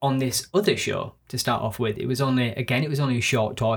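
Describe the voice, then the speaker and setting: Here a man talks at a fairly quick pace in a Yorkshire accent. His medium-pitched voice is somewhat breathy, with ordinary pitch variation. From northern England (Yorkshire). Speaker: actor and podcast co-host. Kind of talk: casual chat. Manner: rambling.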